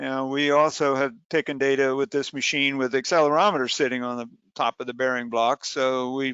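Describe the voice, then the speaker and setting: At a moderate pace, a man talks with fairly even intonation at a medium pitch. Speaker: software company presenter. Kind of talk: webinar software demonstration. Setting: online webinar. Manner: hesitant with fillers.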